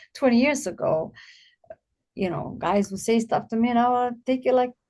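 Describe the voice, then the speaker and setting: Speaking at a moderate pace, a woman has a fairly high pitch, a dark, mellow tone and ordinary pitch variation. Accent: non-native. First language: not English. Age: 50s. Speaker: abuse survivor and guest speaker. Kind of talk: podcast interview.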